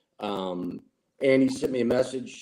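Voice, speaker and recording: A man speaks with a St. Louis accent. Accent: Midwestern US (St. Louis area). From Granite City, Illinois (St. Louis area). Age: 60s. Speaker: gym member, cancer survivor. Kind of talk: interview, personal testimony.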